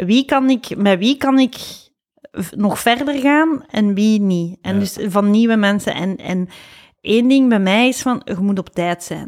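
The woman's voice is fairly high-pitched with ordinary pitch variation. She talks at a very slow pace. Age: 40s. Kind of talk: casual chat.

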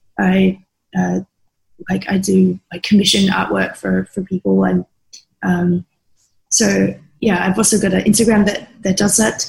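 Pausing long and often, a woman with an Australian accent talks at a fairly slow pace. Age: young. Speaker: SEO specialist. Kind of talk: interview conversation. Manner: halting, many fillers.

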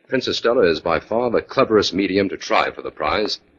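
A man's put-on character voice, low-pitched with a fairly bright tone, a slightly husky edge, lively intonation and a fairly quick pace

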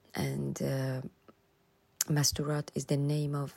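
A woman with a Persian accent at a very slow pace, in a very clean recording with a silent background. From Iran (Tehran), Afghan roots. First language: Persian (Dari/Farsi). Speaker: photographer and women's rights activist. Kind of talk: recorded voice-clip interview answers. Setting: self-recorded voice clips. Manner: halting, with repetitions and fillers.

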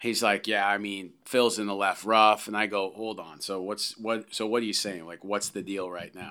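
A man with a fairly low, bright and sharp voice speaks in a flat monotone at a moderate pace, hardly pausing. His loudness swings widely on a very clean recording with a silent background. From Canada. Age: 40s. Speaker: golf swing coach. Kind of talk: interview.

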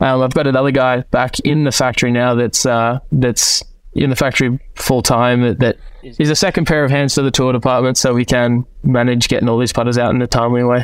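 A man talks at a fairly quick pace with monotone, flat intonation and very even loudness. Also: medium pitch for a man. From Melbourne, Australia. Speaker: golf equipment tour rep. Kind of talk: casual chat.

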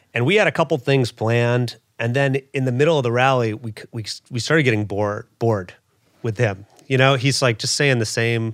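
A man with an American accent, a normal speaking voice, talks at a fairly quick pace with ordinary pitch variation. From US South, Louisville, Kentucky. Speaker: comedian. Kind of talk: casual chat.

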